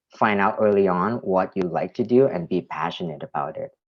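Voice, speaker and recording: A man with a Thai accent speaks at a fairly quick pace. His pitch is very deep and low, with ordinary variation. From Thailand. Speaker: art director. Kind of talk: presentation to students. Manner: halting, many fillers and repetitions.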